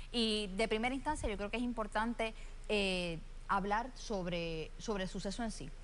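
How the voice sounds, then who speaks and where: A woman's fairly even intonation is heard with audible room echo. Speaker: gubernatorial candidate, lawyer. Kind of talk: televised candidate interview. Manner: fast.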